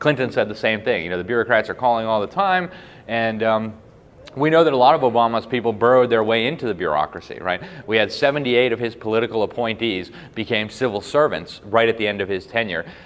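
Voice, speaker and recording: A man rattles along at a very fast pace in a medium pitch. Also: ordinary pitch variation. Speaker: journalist and public speaker. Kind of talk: speech to a live audience.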